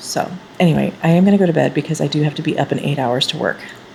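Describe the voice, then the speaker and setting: A woman with lively intonation over noticeable background noise. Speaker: writing vlogger. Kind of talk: vlog diary. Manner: fast.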